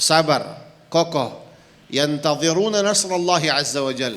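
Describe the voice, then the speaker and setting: A man's fairly high voice in an Arabic accent, at a fairly slow pace with ordinary pitch variation, amid audible room echo and noticeable background noise. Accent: Arabic accent in Indonesian. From Palestine. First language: Arabic (speaking Indonesian). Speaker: visiting Palestinian sheikh. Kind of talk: religious talk. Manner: halting, non-fluent Indonesian.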